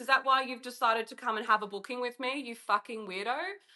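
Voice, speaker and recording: Her tone is bright, sharp and animated. The woman's pitch is high. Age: 30s. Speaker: writer and sex worker. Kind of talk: casual chat.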